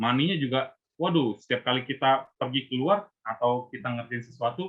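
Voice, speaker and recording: An unremarkable speaking voice from a man, with lively intonation. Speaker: invited speaker at Buddhist youth service. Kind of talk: talk to youth group. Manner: casual, conversational.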